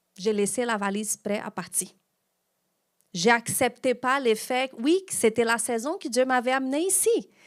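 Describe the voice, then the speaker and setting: A woman with a non-native accent speaks at a high pitch and a moderate pace. Her intonation is lively, and the recording is very clean with a silent background. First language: not French (speaking French). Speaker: pastor. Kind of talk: sermon.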